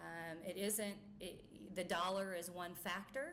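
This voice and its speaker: With an American accent, a woman speaks in a fairly low pitch, and audible room echo fills the recording. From US Midwest, rural Missouri-Iowa border. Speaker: company chief executive. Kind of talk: press conference speech. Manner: halting, many filler words.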